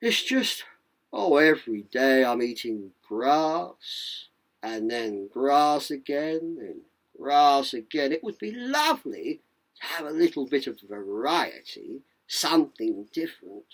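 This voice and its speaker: A put-on character voice at a low-to-middle pitch moves at a fairly slow pace on a very clean recording with a silent background. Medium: read story. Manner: sweet, genteel.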